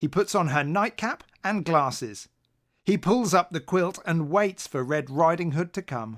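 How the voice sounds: In a very clean recording with a silent background, a man speaks at a fairly slow pace with lively intonation, a fairly bright tone and a fairly high pitch.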